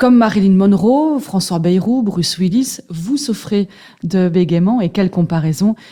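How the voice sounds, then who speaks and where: Fairly slow and somewhat breathy, a woman speaks in a dark, mellow tone. Her pitch varies in an ordinary way. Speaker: interviewer. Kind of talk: interview questions.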